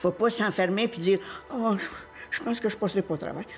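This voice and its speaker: A woman with a fairly high pitch and ordinary pitch variation talks while noticeable background noise is present. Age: 80s+. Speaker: cancer survivor. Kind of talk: testimony. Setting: pre-recorded video.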